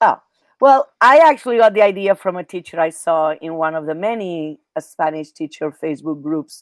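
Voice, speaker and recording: A woman's fairly low voice in a Catalan accent, at a moderate pace, with lively intonation, big swings in loudness, and a dry, close sound with no echo. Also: very clean recording, silent background. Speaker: Spanish teacher. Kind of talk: interview.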